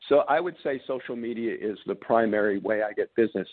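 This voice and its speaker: This man has a normal speaking voice at medium pitch with an American accent. He moves at a moderate pace with ordinary pitch variation. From New York. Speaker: marketing consultant and business seller. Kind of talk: interview.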